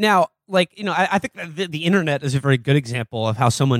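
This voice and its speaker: A man's normal speaking voice at medium pitch, with ordinary pitch variation and a fairly quick pace, in a very clean recording with a silent background and a dry, close sound with no echo. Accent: American. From New York City. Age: 30s. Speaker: podcast host. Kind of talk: casual chat.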